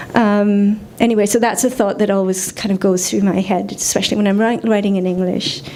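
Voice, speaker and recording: Noticeable background noise sits behind a woman talking at a very fast pace. Her medium-pitched voice has a flat, monotone intonation. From India. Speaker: poet. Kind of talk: poetry reading with commentary. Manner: halting, many fillers.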